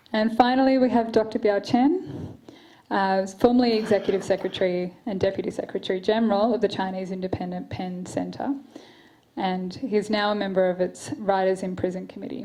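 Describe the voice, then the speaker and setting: Talking at a fairly quick pace, a woman with an Australian accent has a medium pitch, a dark, mellow tone and ordinary pitch variation. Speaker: event moderator, human rights lawyer. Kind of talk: panel moderation. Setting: stage with audience. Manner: quiet, may trail off.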